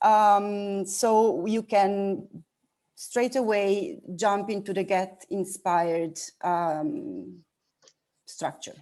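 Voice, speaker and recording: A woman's medium-pitched voice, dark and mellow in tone, at a very slow pace. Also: ordinary pitch variation. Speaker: workshop facilitator. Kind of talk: workshop instructions.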